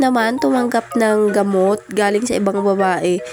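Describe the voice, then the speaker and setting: Through noticeable background noise, a woman speaks at a moderate pace with a fairly high pitch and lively intonation. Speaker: vlogger. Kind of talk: vlog voice-over narration. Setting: voice-over recording. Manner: casual, chatty.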